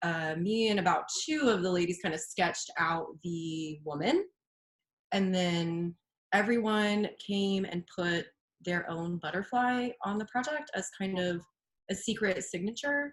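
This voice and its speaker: At a fairly slow pace, a woman with a somewhat breathy, medium-pitched voice talks with lively intonation. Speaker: visual artist. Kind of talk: reading aloud; casual chat.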